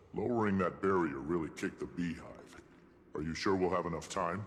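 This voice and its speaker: Someone puts on a character voice and talks at a fairly quick pace. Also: man, very deep, low pitch for a man. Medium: video game.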